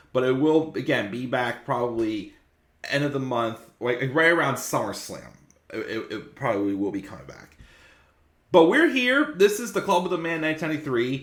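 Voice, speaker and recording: This man's pitch sits fairly high, and his intonation is lively. His loudness swings widely from moment to moment. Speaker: wrestling YouTuber. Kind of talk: casual video review. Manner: fast.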